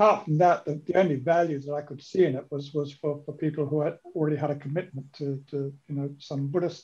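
A somewhat breathy man at a fairly quick pace, hardly any pauses, fairly even intonation, quiet background. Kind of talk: discussion comment. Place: home room. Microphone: video call.

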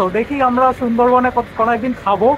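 Light background noise under a man's dry, echo-free voice. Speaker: travel vlogger. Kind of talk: casual vlog chat. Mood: cheerful, smiling. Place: street. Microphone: phone near.

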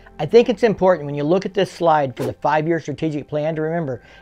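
Faint music plays in the background while the voice moves with ordinary pitch variation. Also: man. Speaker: motorcycle enthusiast vlogger. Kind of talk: commentary. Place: garage. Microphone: webcam.

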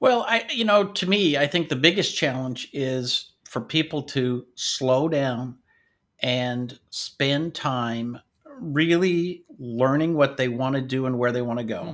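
A man with a fairly high pitch speaks at a very slow pace. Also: ordinary pitch variation, quiet background. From Washington state, US. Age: 60s. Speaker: IT business coach. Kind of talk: interview. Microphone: webcam.

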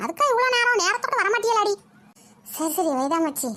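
In a cartoonish character voice, a woman squeaks at an extremely high pitch with very wide pitch swings. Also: moderate pace. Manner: blunt, teasing, scolding.

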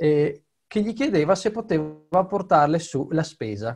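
A man with a fairly high-pitched voice speaks against a quiet background. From Italy. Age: 20s. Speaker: orchestra conductor. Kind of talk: interview. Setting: video call from home. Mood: relaxed, storytelling. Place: home room. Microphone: webcam.

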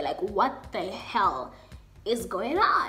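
Music plays in the background as a woman speaks in an animated tone. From South Africa. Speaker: YouTuber. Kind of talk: storytime, casual talk to camera. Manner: animated, expressive. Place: home room. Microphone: webcam.

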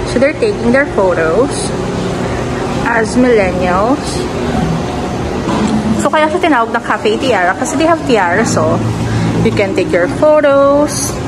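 The speech moves at a fairly slow pace with long, frequent pauses. Loud background noise runs underneath. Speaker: vlogger. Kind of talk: casual vlog chat. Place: cafe. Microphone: phone near.

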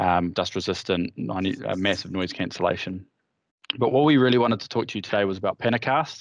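Over a quiet background, the speech moves at a fairly quick pace with ordinary pitch variation and a dry sound with no echo. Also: man, fairly low pitch for a man. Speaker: partner manager at a headset company; vendor partner manager presenting. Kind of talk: product presentation. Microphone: video call.

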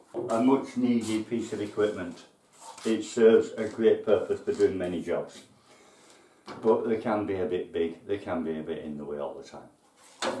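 A man speaks at a fairly quick pace, and room echo is audible. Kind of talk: casual tour explanation. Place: workshop.

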